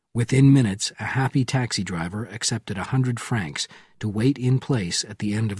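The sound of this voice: An unforced reading voice, its pitch rising and falling ordinarily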